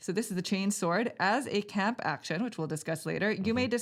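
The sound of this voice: This is an unforced reading voice. It carries throughout the clip.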